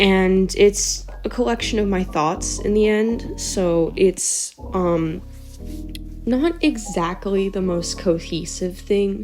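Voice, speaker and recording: Over music in the background, a woman speaks at a very slow pace. Her pitch is medium, with ordinary pitch variation. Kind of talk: video essay narration. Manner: improvised, casual.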